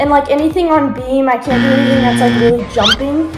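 Over clear background music, a woman speaks at a very fast pace. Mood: sad, disappointed. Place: kitchen. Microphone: phone near.

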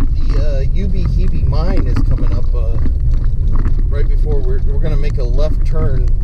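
Loud background noise runs under a man talking at a moderate pace. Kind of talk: casual trip commentary. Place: car. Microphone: camera far.

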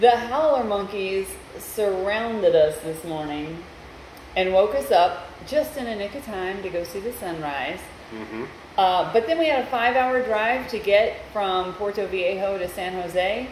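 A woman speaks with big swings in loudness. Audible room echo and light background noise surround her. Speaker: travel vlogger. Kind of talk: casual vlog chat. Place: home room. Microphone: phone near.

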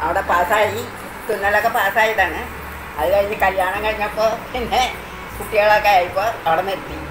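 Noticeable background noise accompanies a woman speaking. Her pitch varies in an ordinary way. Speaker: embroidery and handicraft maker. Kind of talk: interview answer. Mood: cheerful, reminiscing. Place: home room. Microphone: phone near.

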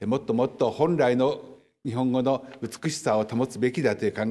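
The speaker is a man at a medium pitch. He moves at a fairly quick pace. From Japan. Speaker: historian; lecturer. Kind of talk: lecture. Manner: formal. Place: hall. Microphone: podium.

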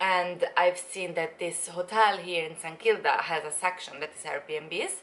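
A woman speaks with lively intonation. Her pace is fairly slow. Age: 20s. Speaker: travel vlogger. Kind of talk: casual vlog chat. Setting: at home, filming video. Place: home room. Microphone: phone near.

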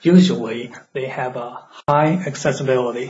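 With a non-native accent, a man speaks fairly slowly at a medium pitch over noticeable background noise. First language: non-native English speaker. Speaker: urban planning educator. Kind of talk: educational lecture.

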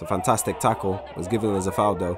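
Over noticeable background noise, a man talks in an enthusiastic, animated tone. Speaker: sports commentator. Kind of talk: sunday league match commentary, live play-by-play. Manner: animated, quick-paced play-by-play; enthusiastic, excitable on goals.

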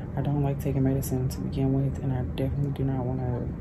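Very fast speech from a woman, over loud background noise. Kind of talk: casual vlog chat. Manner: tired, pained murmuring voice. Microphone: phone near.

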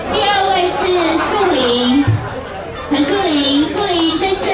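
At a very slow pace, the speech comes through with audible room echo and crowd noise in the background. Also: woman. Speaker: event emcee. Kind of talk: award announcement. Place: hall.

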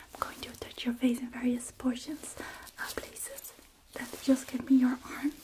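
The speaker is whispering. The pace is moderate. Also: woman. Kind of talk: soft-spoken role-play instructions. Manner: soft, close ASMR speaking voice. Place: home room.

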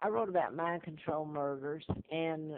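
At a moderate pace, a woman talks with a Southern US accent. Her voice is very deep and low, and her intonation is fairly even. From US South. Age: 70s. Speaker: video blogger. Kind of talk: personal monologue about claims. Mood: earnest, conspiratorial. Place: home room. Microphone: phone near.

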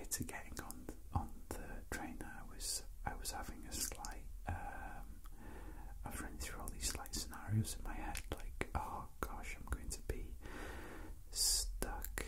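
Long, frequent pauses break up very slow speech against loud background noise. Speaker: asmr creator. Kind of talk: soft spoken ramble. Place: train.

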